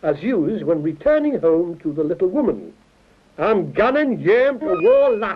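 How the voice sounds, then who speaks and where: Over noticeable background noise, the pitch rises and falls across very wide swings. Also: man. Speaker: author. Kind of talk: comic mock language-lesson narration.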